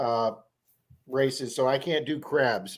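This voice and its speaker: A man's voice at a medium pitch. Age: 60s. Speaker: metal detecting youtuber, live stream host. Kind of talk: casual live stream chat. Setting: live stream.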